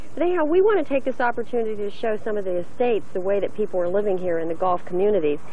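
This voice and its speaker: Someone talks at a very fast pace over light background noise. The sound is dry with no echo. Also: woman. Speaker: TV travel show host. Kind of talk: presenter chat to co-host. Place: garden.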